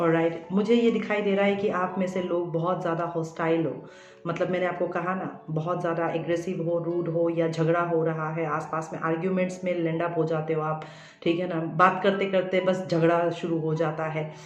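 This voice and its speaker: Amid audible room echo and noticeable background noise, a woman speaks at a moderate pace with hardly any pauses, in a fairly low pitch and monotone, flat intonation. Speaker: tarot reader and psychic counsellor. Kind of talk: tarot reading addressed to viewers. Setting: recorded video. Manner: hesitant, many fillers.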